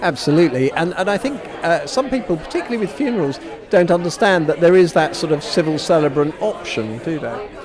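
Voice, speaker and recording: The speech runs at a very fast pace with lively intonation, over noticeable background noise. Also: man, high pitch for a man. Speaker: radio presenter. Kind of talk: interview. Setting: busy networking event venue. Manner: friendly, conversational.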